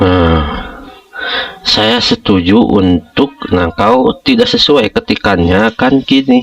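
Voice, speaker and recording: The pace is very slow. Noticeable background noise is present. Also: man. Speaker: school operator, education tutorial maker. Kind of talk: screen-share tutorial. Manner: informal, many fillers (nah, ya).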